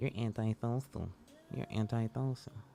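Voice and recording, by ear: A put-on character voice, low and nasal, at a moderate pace over clear background noise.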